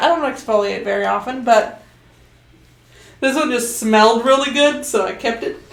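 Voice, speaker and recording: There is noticeable background noise and audible room echo. A woman speaks at a moderate pace. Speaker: streamer. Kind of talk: casual chat. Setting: home livestream. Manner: loud.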